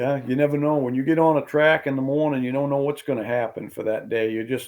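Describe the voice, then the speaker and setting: On a very clean recording with a silent background, a man with an unremarkable speaking voice talks at a moderate pace, medium in pitch with fairly even intonation. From southern Maine, US. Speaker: hunting guide and big-woods tracker. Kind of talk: casual podcast interview.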